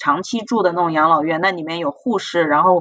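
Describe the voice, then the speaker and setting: Her tone is bright and sharp, at a medium pitch for a woman. She talks at a fairly quick pace. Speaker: hospital physician. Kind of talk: casual chat.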